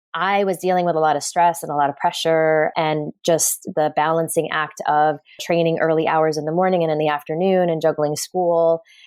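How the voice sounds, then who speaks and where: A woman with an American accent speaks in a fairly low, flat monotone, hardly pausing at all. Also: moderate pace. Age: 40s. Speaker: performance psychologist. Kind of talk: interview.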